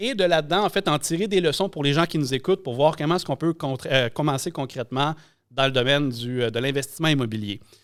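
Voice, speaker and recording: Delivered at a very fast pace in a Quebec accent with ordinary pitch variation, the speech comes on a very clean recording with a silent background. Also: man. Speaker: podcast host, real estate broker. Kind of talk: episode intro monologue; podcast interview.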